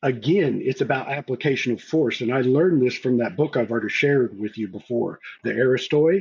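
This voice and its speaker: A man talks at a fairly quick pace with hardly any pauses, his voice somewhat breathy and his pitch varying in an ordinary way. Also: medium pitch for a man. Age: older than the hosts. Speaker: game master. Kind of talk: casual chat.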